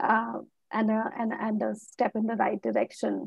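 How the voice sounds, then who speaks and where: A somewhat breathy woman's voice, fairly high in pitch and fairly slow in pace, dry with no echo against a quiet background. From Assam, India. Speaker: academic, disaster researcher; speaker. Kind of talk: panel discussion. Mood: thoughtful, earnest. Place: home room. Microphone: earbuds.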